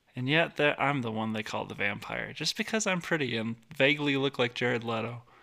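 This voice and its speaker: At a fairly quick pace, an ordinary speaking voice carries the words. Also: man, medium pitch for a man, ordinary pitch variation. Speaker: podcast host. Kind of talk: casual comedic banter. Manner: joking, rambling.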